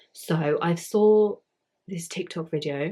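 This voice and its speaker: On a very clean recording with a silent background, a woman with a British accent sounds somewhat breathy, with a dark, mellow tone, a very deep, low pitch and fairly even intonation. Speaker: YouTuber. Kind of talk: casual vlog talk. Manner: casual, filler-heavy.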